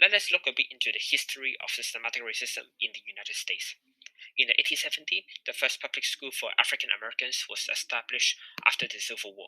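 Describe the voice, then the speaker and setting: The speaker talks at a very fast pace with a non-native accent. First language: not English. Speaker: student presenter. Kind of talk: class presentation.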